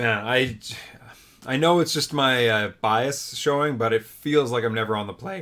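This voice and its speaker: A man is speaking here. His pitch is medium and his pace moderate. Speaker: card game content creator. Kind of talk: gameplay commentary. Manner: casual, filler-heavy.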